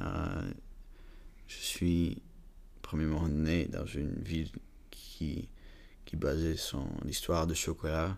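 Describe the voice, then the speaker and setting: Over audible room echo, a man with a very deep, low pitch speaks at a very slow pace with monotone, flat intonation and long, frequent pauses. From Belgium (Flanders, Bruges) and Prague, Czech Republic. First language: English, Flemish, Czech (speaking French). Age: 20s. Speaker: university student, chocolate family business. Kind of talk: interview. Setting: chocolate museum. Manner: halting, hesitant.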